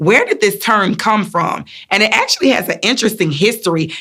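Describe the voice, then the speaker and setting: A bright, sharp tone at a fairly quick pace, with a Southern US accent. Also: woman. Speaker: motivational speaker and wellness coach. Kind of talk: motivational talk to camera. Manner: warm, encouraging.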